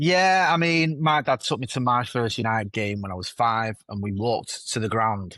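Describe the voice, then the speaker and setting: A man with a Mancunian accent talks at a moderate pace with hardly any pauses, his medium-pitched voice bright and sharp in tone with lively intonation. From Manchester (Stretford), northern England. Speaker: football content creator. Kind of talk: interview. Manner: casual, with repeated fillers and restarts.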